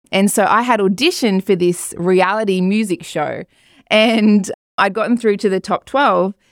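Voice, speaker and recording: A woman's medium-pitched voice with an Australian accent, fairly even intonation, very even loudness and a moderate pace, on a very clean recording with a silent background and a dry, close sound with no echo. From rural Australia. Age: 40s. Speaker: pastor and recording artist. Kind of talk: interview testimony. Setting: studio.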